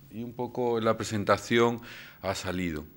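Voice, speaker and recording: A man's fairly low-pitched voice with ordinary pitch variation, in a very clean recording with a silent background. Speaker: invited lecturer. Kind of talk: lecture. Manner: hesitant, frequent fillers.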